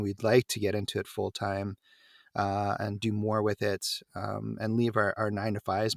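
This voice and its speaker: In an ordinary speaking voice, a man talks at a moderate pace with a fairly low pitch, recorded dry and close with no echo on a very clean recording with a silent background. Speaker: voice actor. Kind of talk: interview answer.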